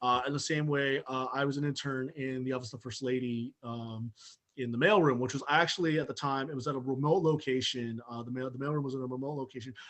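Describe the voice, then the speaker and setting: Very fast speech from a man at medium pitch, with fairly even intonation. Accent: American. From Southern California. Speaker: journalist. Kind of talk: interview. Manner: halting, many fillers.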